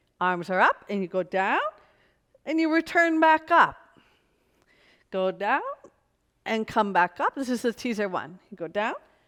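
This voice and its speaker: This speaker has an American accent and a moderate pace, with very wide pitch swings. Long pauses come often, and the sound is dry and close with no echo. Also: woman, fairly high pitch for a woman. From US Northeast, New York City. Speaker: pilates instructor. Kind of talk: exercise class instruction. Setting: video shoot in New York City.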